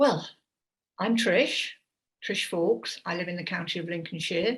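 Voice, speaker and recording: With an East Midlands accent, a woman speaks at a moderate pace with fairly low pitch, lively intonation, big swings in loudness and a somewhat breathy voice. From English East Midlands, Leicester. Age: 70s. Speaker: community group founder. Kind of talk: personal talk.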